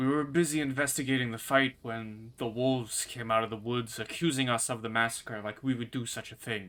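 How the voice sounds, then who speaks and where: A man's gruff, put-on character voice at medium pitch, fairly quick, with fairly even intonation. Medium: actual play. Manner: gruff, hard.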